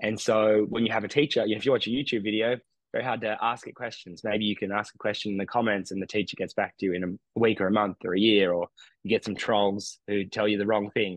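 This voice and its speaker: Someone with an Australian accent talks at a very fast pace, the sound dry with no echo and the background quiet. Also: man, fairly low pitch for a man, fairly even intonation. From regional New South Wales, Australia. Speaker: meditation teacher; podcast guest, meditation teacher. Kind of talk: interview conversation. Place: home room. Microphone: studio mic.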